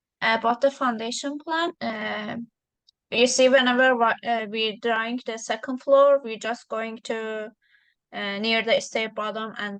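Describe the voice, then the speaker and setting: A woman's voice sits at a fairly high pitch over a quiet background. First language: not English. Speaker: drafting student. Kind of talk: casual questions in tutorial. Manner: halting.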